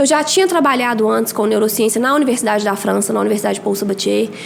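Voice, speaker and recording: A woman with a Minas Gerais accent at a very fast pace amid noticeable background noise. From Brazil, Minas Gerais (Belo Horizonte). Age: 30s. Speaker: biology teacher and mentor for exam students. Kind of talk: podcast interview.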